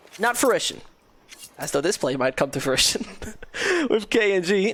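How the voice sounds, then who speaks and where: Against noticeable background noise, a woman at medium pitch talks at a moderate pace with very wide pitch swings. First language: not English. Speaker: esports caster. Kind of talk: live commentary.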